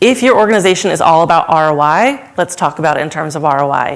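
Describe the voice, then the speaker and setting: A woman's fairly low pitch amid noticeable background noise. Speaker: supply chain consultant. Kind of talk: conference talk. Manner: fast.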